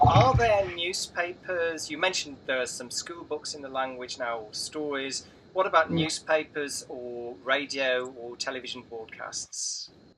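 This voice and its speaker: A man with a fairly high pitch and ordinary pitch variation speaks at a fairly slow pace with hardly any pauses, his loudness swinging widely over noticeable background noise. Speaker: language learning coach, interviewer. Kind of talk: interview questions, casual talk to camera.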